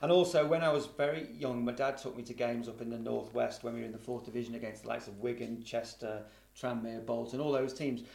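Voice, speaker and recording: Talking at a very fast pace, a man with a medium-pitched voice and ordinary pitch variation is heard with audible room echo. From Liverpool, England. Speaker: football journalist. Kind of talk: casual chat.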